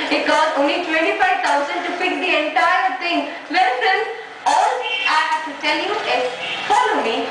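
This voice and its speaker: Despite noticeable background noise, a woman's extremely high voice comes through with an upbeat tone and lively intonation. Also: moderate pace. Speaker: TV show host / anchor. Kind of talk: TV home-tour presenter reading. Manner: upbeat, friendly, chatty.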